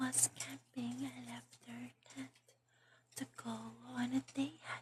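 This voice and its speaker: Whispering, the speaker moves at a very slow pace. Long, frequent pauses break up the speech. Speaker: ASMR artist. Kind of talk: ASMR scary-story reading, whispered late-night. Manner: whispered, calming.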